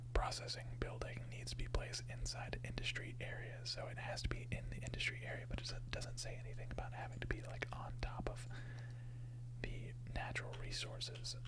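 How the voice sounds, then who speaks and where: Soft-spoken words come at a fairly quick pace over noticeable background noise. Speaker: ASMR gaming streamer. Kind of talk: casual gaming commentary, quiet ASMR-style. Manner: quiet, soft-spoken.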